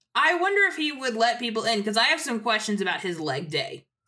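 Her voice fairly high, a woman speaks with very wide pitch swings. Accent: American. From US South, North Carolina. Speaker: TV journalist. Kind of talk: casual chat.

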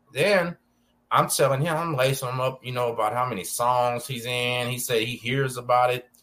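A man with an American accent and a bright, sharp tone, with fairly even intonation, in a very clean recording with a silent background. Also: medium pitch for a man, moderate pace. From Texas, Galveston. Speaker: podcast host, former prisoner. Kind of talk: casual interview chat.

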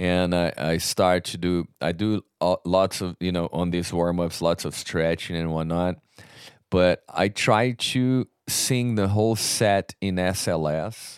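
A man's very deep, low voice in a Portuguese accent, fairly slow with ordinary pitch variation, on a very clean recording with a silent background and a dry, close sound with no echo. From Brazil. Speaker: metal vocalist. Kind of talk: casual interview.

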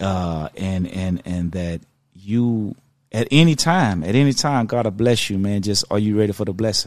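On a very clean recording with a silent background, a man talks at a moderate pace and a fairly low pitch, with ordinary pitch variation. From South Park neighborhood, US South. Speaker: R&B singer. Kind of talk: casual chat.

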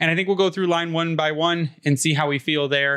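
With an American accent, a man talks at a very fast pace in a bright, sharp tone with ordinary pitch variation. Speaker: hockey podcast host. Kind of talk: casual chat. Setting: video call.

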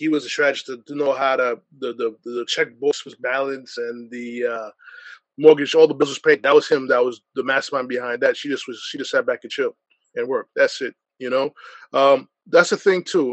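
An unremarkable speaking voice from a man with an American accent, fairly high pitch, ordinary pitch variation, a fairly quick pace and big swings in loudness. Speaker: sports podcaster. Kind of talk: panel discussion.

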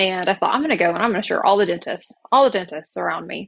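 A woman in an American accent speaks at a medium pitch with ordinary pitch variation and vocal fry. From Oklahoma. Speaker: insurance agency leader. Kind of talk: casual interview.

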